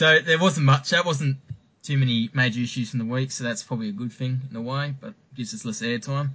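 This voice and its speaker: The man speaks fairly quickly in an Australian accent. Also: medium pitch for a man, ordinary pitch variation. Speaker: podcast host. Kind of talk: casual chat.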